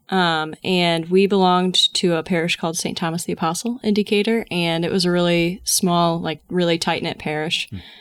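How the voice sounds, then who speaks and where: An unremarkable speaking voice moves at a moderate pace with fairly even intonation and hardly any pauses, on a very clean recording with a silent background. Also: woman, fairly low pitch for a woman. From southern Illinois (Collinsville, near St. Louis). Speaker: instructional coach, former journalism student. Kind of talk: casual interview, faith testimony.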